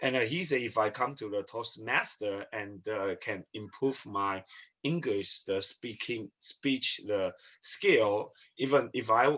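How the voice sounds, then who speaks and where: Using ordinary pitch variation, a man speaks at a fairly slow pace with a medium pitch. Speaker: prospective club member. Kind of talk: self-introduction at club meeting. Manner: halting, many fillers.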